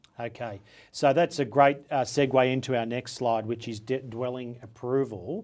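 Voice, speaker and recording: A man with an Australian accent, fairly even intonation, and a moderate pace. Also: medium pitch for a man. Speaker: property podcast host. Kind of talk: interview.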